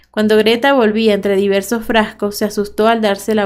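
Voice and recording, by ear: Here, someone is reading aloud in a natural voice.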